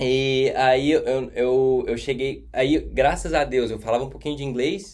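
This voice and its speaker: Speaking in a Minas Gerais accent, a man uses a medium pitch and fairly even intonation at a fairly slow pace, with audible room echo. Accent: Brazilian Portuguese, mineiro. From Brazil, Minas Gerais (Contagem). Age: 20s. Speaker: hospitality and events worker abroad. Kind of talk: podcast interview.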